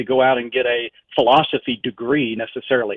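This man speaks with a Southern US accent. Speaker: professor of philosophy and apologetics. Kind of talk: interview discussion on philosophy. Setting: radio broadcast.

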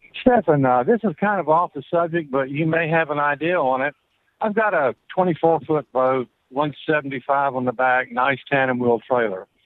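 A man with an American accent and a plain, everyday voice, fairly high pitch, lively intonation and a moderate pace. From US South, Florida Panhandle. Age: 60s. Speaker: caller. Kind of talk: radio call-in question. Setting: phone call.

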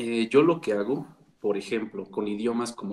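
A normal speaking voice is heard here. It moves at a moderate pace with ordinary pitch variation. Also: man. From Mexico. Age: 20s. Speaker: language coach. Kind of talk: interview.

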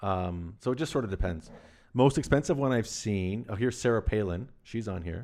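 Recorded very cleanly against a silent background, a man with a normal speaking voice talks at a fairly quick pace and fairly low pitch, with lively intonation. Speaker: barter company executive. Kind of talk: casual chat.

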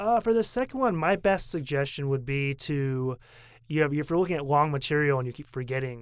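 With an American accent, a man talks at a fairly quick pace in a fairly high voice. His is a plain, everyday voice, captured on a very clean recording with a silent background. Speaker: podcast host. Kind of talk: casual chat.

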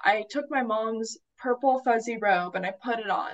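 A woman's plain, everyday voice, fairly high-pitched, with ordinary pitch variation at a moderate pace. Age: 20s. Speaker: college student and young writer. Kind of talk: casual interview.

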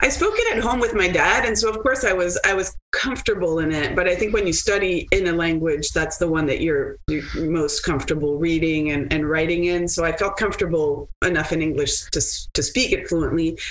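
With a slight French Canadian accent, a woman with a fairly low pitch speaks fairly quickly, with hardly any pauses and very even loudness. Noticeable background noise sits behind her. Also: ordinary pitch variation. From Quebec, Montreal. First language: French and Italian. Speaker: lawyer. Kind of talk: interview.

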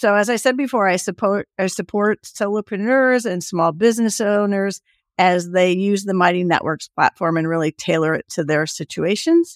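In a normal speaking voice at medium pitch, a woman talks at a moderate pace with hardly any pauses and ordinary pitch variation, in a very clean recording with a silent background. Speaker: community consultant. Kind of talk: casual interview.

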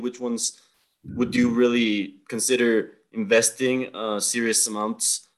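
A man speaks with a Spanish accent. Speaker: podcast host. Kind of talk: interview.

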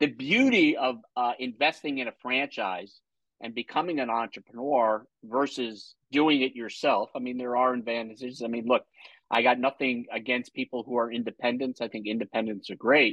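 Here is a man with a normal speaking voice and a medium pitch. He keeps a moderate pace and fairly even intonation. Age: 60s. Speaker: podcast host and franchise consultant. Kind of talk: interview.

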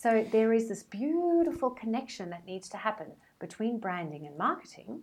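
A woman with a South African accent speaks at a moderate pace and fairly high pitch. Her pitch swings very widely, and her loudness shifts a great deal. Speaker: brand strategist. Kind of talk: interview.

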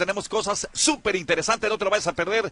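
A man's raised, projected voice, high-pitched with a bright, sharp tone, at a very fast pace. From Sinaloa, Mexico. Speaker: radio host. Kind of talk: casual radio talk. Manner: animated.

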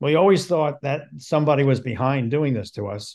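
In a very clean recording with a silent background, a man with a plain, everyday voice and fairly high pitch talks at a moderate pace. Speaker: podcast co-host, film producer. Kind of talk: casual interview chat.

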